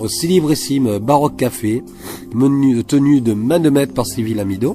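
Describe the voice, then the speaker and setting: Music plays in the background as a man talks at a fairly slow pace in a medium pitch. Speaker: interviewer. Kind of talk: interview. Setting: in a café. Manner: animated.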